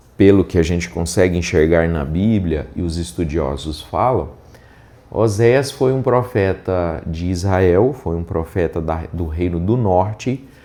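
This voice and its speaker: Soft-spoken and dark, mellow in tone, a man with a very deep, low pitch talks at a fairly slow pace with lively intonation. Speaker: pastor. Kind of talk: Bible reading with commentary. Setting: unusual location, not the usual studio.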